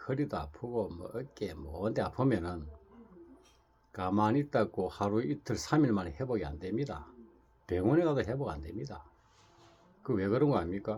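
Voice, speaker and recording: A man's fairly low voice at a moderate pace, with very wide pitch swings and long, frequent pauses. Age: 60s. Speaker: Buddhist monk. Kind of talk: casual talk to camera. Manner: rambling with repetitions.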